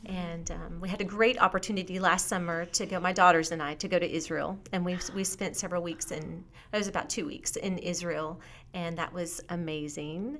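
A woman with an American accent talks in an ordinary speaking voice at a fairly low pitch. Her pace is fairly quick and her intonation fairly even. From US, military family moving around. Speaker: author and teacher. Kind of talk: interview.

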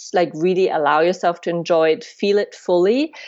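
A woman talks at a fairly slow pace. Her fairly low pitch shows ordinary variation. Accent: German. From Germany. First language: German. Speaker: tantra and sex educator. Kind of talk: interview. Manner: halting.

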